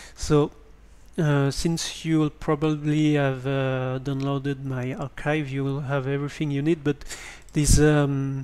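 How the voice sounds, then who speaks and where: A man with a French accent talks at a fairly slow pace and a fairly high pitch in a monotone, flat intonation. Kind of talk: screen-recorded tutorial. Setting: basic home microphone. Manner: hesitant.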